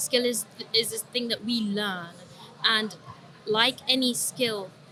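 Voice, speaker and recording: At a very slow pace, a woman with a London accent speaks in a fairly high pitch with fairly even intonation. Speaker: trader and trading psychology coach. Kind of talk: podcast interview. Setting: recorded at a trading summit.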